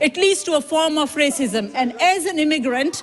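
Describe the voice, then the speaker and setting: A woman keeps a moderate pace while noticeable noise runs in the background. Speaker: politician. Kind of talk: parliamentary speech. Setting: parliament chamber. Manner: emphatic, repetitive.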